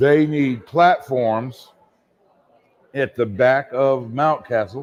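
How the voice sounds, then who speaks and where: Speaking very slowly, a man uses a medium pitch with ordinary pitch variation. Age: 60s. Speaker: theater technical director. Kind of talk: casual chat. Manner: animated.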